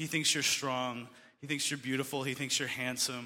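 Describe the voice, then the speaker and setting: A man with an American accent speaks at a medium pitch. His tone is bright and sharp, with fairly even intonation. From Colorado, US. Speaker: ministry conference organizer and school dean. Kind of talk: speech to youth audience.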